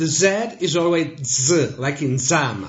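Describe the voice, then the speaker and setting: In an Italian accent, a man speaks at a very slow pace with a fairly high pitch and lively intonation, with audible room echo around him. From Italy. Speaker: language teacher. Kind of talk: tutorial.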